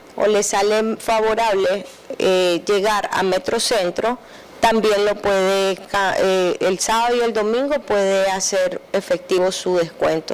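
A woman speaks very slowly with fairly even intonation. Her loudness stays very even throughout. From Nicaragua. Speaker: artisan entrepreneur. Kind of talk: TV interview. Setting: TV studio. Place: studio. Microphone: handheld.

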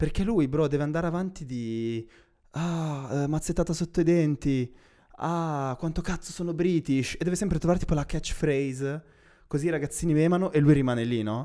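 A man's dark, mellow voice at a moderate pace, with ordinary pitch variation and a quiet background. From Milan, northern Italy. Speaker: podcast co-host. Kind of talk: casual chat. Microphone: handheld.

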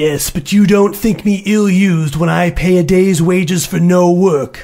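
A man puts on a gruff character voice at a high pitch. He keeps a moderate pace and fairly even intonation. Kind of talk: classic radio drama acting. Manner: gruff, scornful, irritable.

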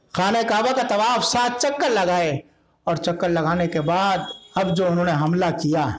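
Lively intonation marks a man's high-pitched voice. Noticeable background noise runs through the clip. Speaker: Shia Islamic cleric, religious speaker. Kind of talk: religious sermon on Islamic history, delivered to a congregation. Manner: oratorical, emphatic, narrative storytelling with exclamations.

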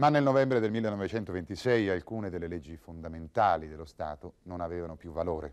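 A very deep, low-pitched man at a moderate pace with lively intonation, big swings in loudness and hardly any pauses, over a quiet background. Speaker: documentary narrator. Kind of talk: scripted historical documentary narration, measured and authoritative. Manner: formal; steady, even-paced, didactic. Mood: serious, measured. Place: studio.

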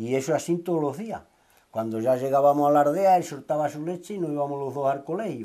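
Over a quiet background, a man talks at a fairly quick pace with a fairly high pitch and ordinary pitch variation. His tone is dark and mellow. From Andalusia, Huelva (Sierra de Aracena); Andalusia. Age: 60s. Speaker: retired local resident, Red Cross volunteer; interviewee. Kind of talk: interview. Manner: halting. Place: home room.

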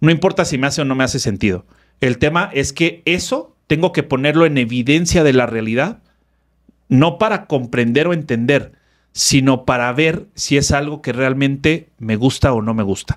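A man with a fairly high pitch and lively intonation speaks at a moderate pace over a quiet background. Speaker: therapist and personal development speaker; speaker. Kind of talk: casual interview chat. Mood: reflective, earnest. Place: studio. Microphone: studio mic.

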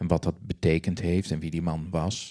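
A man with a very deep, low pitch, a dark, mellow tone, fairly even intonation, and a quiet background. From Netherlands, Groningen countryside. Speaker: novelist and musician; guest. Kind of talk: interview on stage; interview answer. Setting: library stage with audience. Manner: hesitant with many fillers. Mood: calm, reflective. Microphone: handheld.

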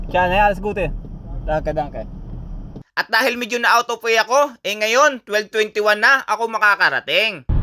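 Projecting a raised voice with a bright, sharp tone, a man speaks at a high pitch with ordinary pitch variation, the sound dry and close with no echo. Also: moderate pace. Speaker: vlogger. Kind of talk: travel vlog narration.

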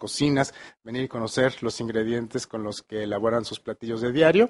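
Using fairly even intonation, a man with a Mexican accent speaks at a fairly quick pace. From Mexico, Michoacán (Morelia); Michoacán, Mexico. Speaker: chef; interviewee. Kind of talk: interview. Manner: halting. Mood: warm, appreciative. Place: studio. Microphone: handheld.

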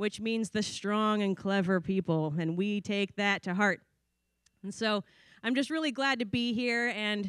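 The pace is fairly slow, with ordinary pitch variation. The background is quiet and the sound dry with no echo. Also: woman. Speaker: keynote speaker. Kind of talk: speech. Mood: warm, smiling, friendly. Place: tent. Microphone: podium.

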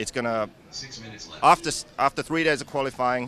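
A man talks with lively intonation. The sound is dry with no echo, with light background noise. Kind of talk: interview answer. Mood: upbeat, animated. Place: tent. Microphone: handheld.

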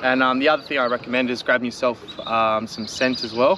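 Faint background noise sits behind a man talking at a fast pace. His medium-pitched voice has a bright, sharp tone and fairly even intonation.

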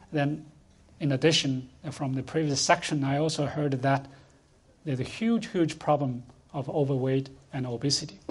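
A man with a Chinese accent speaks at fairly high pitch with ordinary pitch variation and a somewhat breathy sound. His pace is moderate, broken by long, frequent pauses. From rural China. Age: 60s. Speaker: food policy institute director. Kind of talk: panel discussion. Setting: conference stage with audience.

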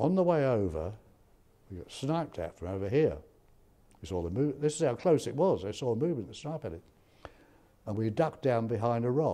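A man with a medium-pitched, dark, mellow voice speaks at a fairly quick pace, with very wide pitch swings, big shifts in loudness, and long, frequent pauses. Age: 90s. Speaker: war veteran. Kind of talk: interview testimony. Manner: halting. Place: hall. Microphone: lapel.

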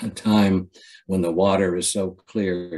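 The pace of this man's speech is very slow. His intonation is fairly even. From Ohio. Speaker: poet. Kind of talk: poetry reading. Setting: video call. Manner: halting. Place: home room. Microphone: webcam.

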